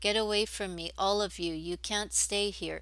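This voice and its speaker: A woman uses a rumbling put-on character voice at medium pitch and a moderate pace in a very clean recording with a silent background. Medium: read story. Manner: irritable, grumbling.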